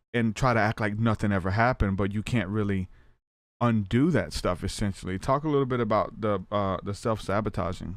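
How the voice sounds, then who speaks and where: Recorded very cleanly against a silent background, a normal speaking voice with an American accent moves at a fairly quick pace with ordinary pitch variation. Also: man. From US South. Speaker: podcast host. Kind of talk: interview. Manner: casual.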